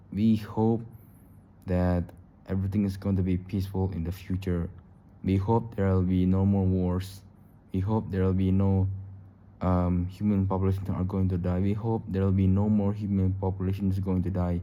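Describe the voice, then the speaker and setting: A man speaks in a very deep, low pitch with a dark, mellow tone and monotone, flat intonation. His loudness stays very even, and there is audible room echo. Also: moderate pace. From Indonesia. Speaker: YouTuber. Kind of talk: casual vlog monologue. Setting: recording at home late at night. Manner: halting, repetitive.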